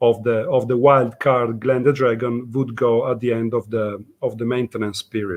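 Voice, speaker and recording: A man with an Italian accent, at a medium pitch. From Italy. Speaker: event organizer. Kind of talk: conference talk.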